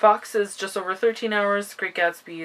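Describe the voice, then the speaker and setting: Her pitch variation ordinary, a woman is speaking. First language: not English. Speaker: booktuber. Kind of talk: casual vlog chat. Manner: casual, with fillers and self-corrections.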